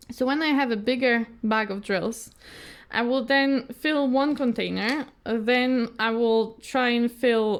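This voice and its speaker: A woman's fairly high voice with a Polish accent and ordinary pitch variation, on a very clean recording against a silent background. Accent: non-native, Polish. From Poland. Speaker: craft youtuber. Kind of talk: casual chat. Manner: halting, many fillers and repeats.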